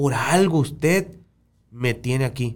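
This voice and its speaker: The man's voice is somewhat breathy, medium in pitch, with ordinary pitch variation. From Sonora, Mexico. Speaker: podcast host. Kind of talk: casual conversation. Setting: studio.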